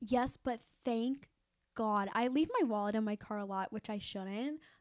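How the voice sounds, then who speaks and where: Animated in tone, a woman speaks fairly slowly in a fairly high voice with ordinary pitch variation. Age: 20s. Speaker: podcast co-host. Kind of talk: casual chat.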